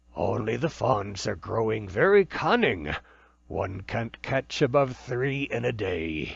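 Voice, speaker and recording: A man in a put-on character voice, medium pitch, fairly slow pace. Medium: read story.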